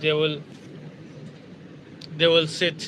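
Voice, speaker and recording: A man with a Bangladeshi accent and a fairly high pitch, over noticeable background noise. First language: Bengali. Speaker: security guard and English learner. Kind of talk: casual live stream chat. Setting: outdoors by a river. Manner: halting, many fillers.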